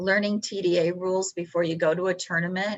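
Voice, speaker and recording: A woman's fairly low voice with a Texan accent and ordinary pitch variation. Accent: Texan American. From Texas. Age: 60s. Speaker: professional poker player. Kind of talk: interview.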